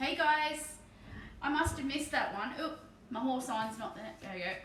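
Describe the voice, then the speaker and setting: A woman speaks in a relaxed tone at a high pitch with an Australian accent. Noticeable background noise and audible room echo surround her. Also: ordinary pitch variation, moderate pace. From Australia, Victoria (Bendigo). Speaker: streamer and miniature painter. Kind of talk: casual live stream chat. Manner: relaxed, chatty.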